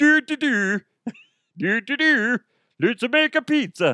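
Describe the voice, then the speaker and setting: The voice is a put-on character voice with a fairly high pitch. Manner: goofy.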